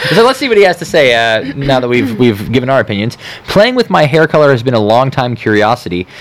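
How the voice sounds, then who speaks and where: Noticeable background noise sits behind a man talking at a very fast pace with lively intonation. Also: medium pitch for a man. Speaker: podcast host. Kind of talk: casual chat.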